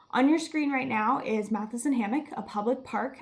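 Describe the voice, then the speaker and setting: A woman with an American accent, an ordinary speaking voice and fairly even intonation. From Miami, Florida. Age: 20s. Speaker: student climate activist. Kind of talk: presentation.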